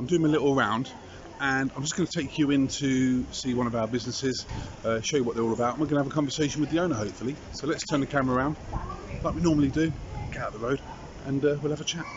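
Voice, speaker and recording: A man talks at a very fast pace with fairly even intonation. The sound is dry with no echo, though noticeable background noise is present. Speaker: local vlogger. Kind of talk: casual vlog chat. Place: street. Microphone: phone near.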